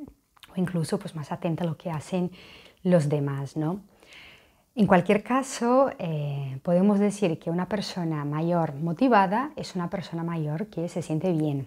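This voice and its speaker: A woman with a dark, mellow tone and fairly low pitch speaks at a fairly slow pace with lively intonation over a quiet background. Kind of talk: informative talk to camera. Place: home room. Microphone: lapel.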